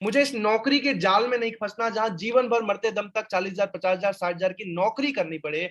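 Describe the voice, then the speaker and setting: At a moderate pace and with hardly any pauses, a man speaks in a high pitch. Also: ordinary pitch variation. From India, Jharkhand (Jamshedpur). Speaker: business franchise trainer. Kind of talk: webinar sales presentation. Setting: online webinar with chat.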